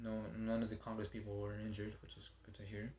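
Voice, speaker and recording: Somewhat breathy, a man talks at a fairly quick pace and a medium pitch. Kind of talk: informative speech practice. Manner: stuttering, hesitant.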